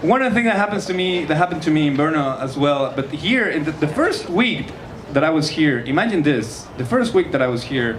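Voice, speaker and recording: Noticeable background noise runs behind a man speaking at a fairly quick pace. His fairly high pitch swings very widely. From Mexico. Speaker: stand-up comedian. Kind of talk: live stand-up comedy set.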